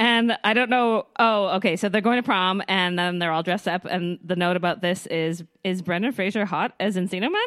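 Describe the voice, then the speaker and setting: A woman's normal speaking voice at a medium pitch, fairly quick in pace, with ordinary pitch variation and hardly any pauses. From British Columbia, Canada. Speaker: podcast co-host. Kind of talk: casual chat.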